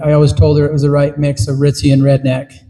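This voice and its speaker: Speaking with an American accent at a fairly quick pace, a man sounds somewhat breathy, his fairly high pitch carrying a dark, mellow tone. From Utah, Duchesne County. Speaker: political candidate. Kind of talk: campaign speech. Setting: town meeting with audience. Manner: hesitant, many fillers.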